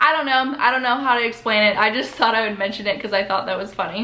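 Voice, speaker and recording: With an American accent, a woman speaks in a fairly high pitch with ordinary pitch variation over noticeable background noise. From US Midwest. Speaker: YouTuber. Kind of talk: casual vlog intro.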